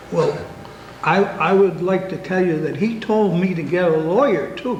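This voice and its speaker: A man's high voice at a moderate pace, with audible room echo and noticeable background noise. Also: ordinary pitch variation. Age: 70s. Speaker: carpenter, resident. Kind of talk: public comment at town meeting.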